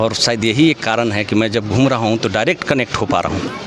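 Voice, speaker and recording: A man's voice, showing ordinary pitch variation, comes through noticeable background noise. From Jharkhand, Palamu area (Utari). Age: young. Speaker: election candidate, politician. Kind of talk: interview.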